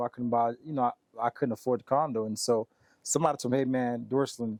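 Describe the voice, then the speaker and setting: In a dry, close recording with no echo, a man with a Haitian accent speaks at medium pitch with fairly even intonation. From Haiti, raised in US from age seven. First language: Haitian Creole. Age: 30s. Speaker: sales expert. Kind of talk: interview. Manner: casual, many fillers.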